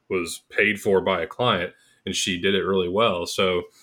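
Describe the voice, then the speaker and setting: A man with a plain, everyday voice and a fairly low pitch talks at a moderate pace. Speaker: co-host and former bootcamp teacher. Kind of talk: casual interview.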